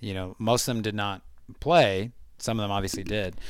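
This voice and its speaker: A man with an American accent speaks in a plain, everyday voice at a fairly low pitch and a moderate pace. His intonation is fairly even, and the recording is very clean with a silent background. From United States. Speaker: football fan guest. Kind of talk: casual chat.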